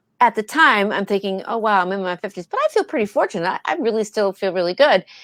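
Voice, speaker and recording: On a very clean recording with a silent background, a woman has an unremarkable speaking voice at a fairly high pitch, with ordinary pitch variation and a dry, close sound with no echo. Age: 60s. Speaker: actress and video producer. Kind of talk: casual interview chat.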